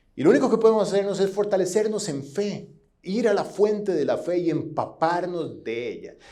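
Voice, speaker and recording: A man's dark, mellow voice, high in pitch, with ordinary pitch variation, a moderate pace, and audible room echo. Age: 40s. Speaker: pastor. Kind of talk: sermon. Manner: halting.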